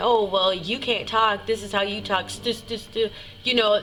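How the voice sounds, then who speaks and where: A woman speaks over noticeable background noise. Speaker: singer and vlogger. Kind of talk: personal testimony vlog. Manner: halting, with repetitions.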